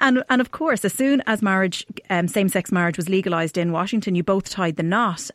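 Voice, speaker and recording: A woman with an Irish accent talks at a fairly quick pace with ordinary pitch variation. The sound is dry and close, with no echo. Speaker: wedding podcast host. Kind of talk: casual interview.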